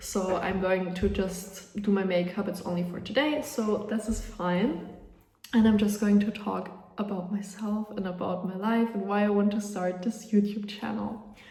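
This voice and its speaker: A woman with a German accent speaks at a medium pitch and moderate pace, with fairly even intonation. Audible room echo and noticeable background noise fill the recording. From Austria. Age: young. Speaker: vlogger. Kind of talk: casual chat. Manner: casual, with many fillers.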